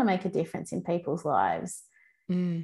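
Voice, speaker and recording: A woman's normal speaking voice, fairly low in pitch at a moderate pace, in a very clean recording with a silent background. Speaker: podcast host. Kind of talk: casual interview chat.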